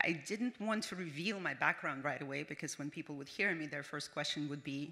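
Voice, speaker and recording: This woman has a very deep, low pitch and a bright, sharp tone, speaking at a fairly quick pace with a non-native accent, ordinary pitch variation and hardly any pauses. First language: not English. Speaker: business founder. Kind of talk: award acceptance speech. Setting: stage with audience. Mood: earnest, heartfelt. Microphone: podium.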